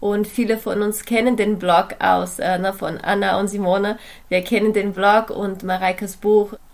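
This woman talks at a moderate pace with a Portuguese accent, her medium-pitched voice flat and monotone. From Brazil. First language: Portuguese (speaking German). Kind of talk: podcast interview.

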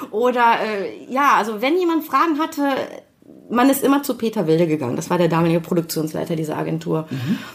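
Over noticeable background noise, a woman with a fairly high pitch talks very fast, her pitch swinging very widely. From Germany, Düsseldorf. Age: 50s. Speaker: creative producer and network founder. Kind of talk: interview. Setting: conference room in a company showroom.

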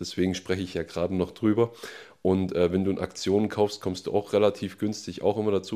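A man's dark, mellow, fairly low voice in a monotone, flat intonation at a very fast pace, in a very clean recording with a silent background. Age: 20s. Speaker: fitness coach, host's husband. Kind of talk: casual chat.

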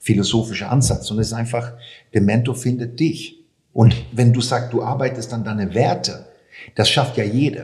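A man with a medium pitch speaks at a moderate pace in a somewhat breathy voice, with audible room echo. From Sweden. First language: Swedish (speaking German). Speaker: sports marketing expert. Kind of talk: interview. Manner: halting.

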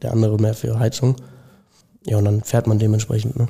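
A man talks in a somewhat breathy voice with a dark, mellow tone. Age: young (19). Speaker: apprentice plumbing and heating fitter. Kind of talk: casual interview. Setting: company premises.

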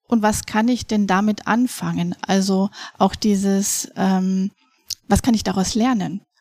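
Somewhat breathy and monotone, a woman speaks at a medium pitch with a dry, close sound with no echo. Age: 40s. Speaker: educational coach for families. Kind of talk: interview. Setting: studio.

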